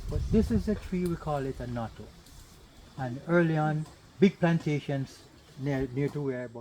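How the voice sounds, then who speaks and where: A dark, mellow tone marks a man's somewhat breathy voice. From Jamaica, Annotto Bay, St Mary. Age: 60s. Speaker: tour guide. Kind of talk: guided tour talk. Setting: outdoors on a plantation. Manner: animated.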